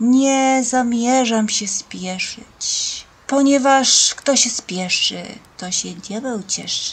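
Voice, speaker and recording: Very slow speech carries ordinary pitch variation. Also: woman. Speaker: vlogger. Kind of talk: casual vlog chat. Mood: relaxed, unhurried. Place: garden. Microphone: camera far.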